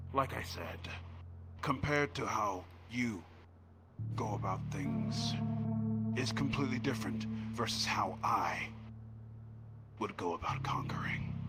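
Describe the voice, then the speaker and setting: Amid loud background noise, a man does a put-on character voice at a medium pitch. He moves at a moderate pace with long, frequent pauses. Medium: actual play. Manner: grandiose, stilted.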